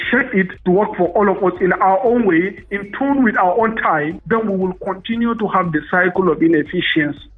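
A man speaks at a moderate pace with a high pitch and ordinary pitch variation. Noticeable background noise is present. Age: 30s. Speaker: businessman and former presidential aspirant. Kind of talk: interview. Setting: phone call.

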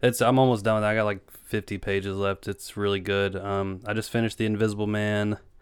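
An Appalachian-accented man at a fairly quick pace with hardly any pauses, a fairly low pitch and monotone, flat intonation. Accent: Appalachian US Southern. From Eastern Kentucky. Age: 20s. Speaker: podcast host. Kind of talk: casual chat.

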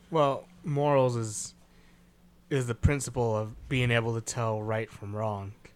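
An unremarkable speaking voice from a man, medium in pitch, fairly even in intonation and fairly slow in pace. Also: very clean recording, silent background. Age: 20s. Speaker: podcast co-host. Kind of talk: casual chat.

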